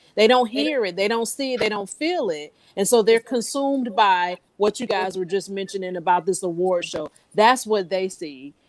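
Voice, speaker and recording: An unremarkable speaking voice from a woman, medium in pitch, with lively intonation at a moderate pace. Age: 50s. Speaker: panel guest. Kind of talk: casual chat.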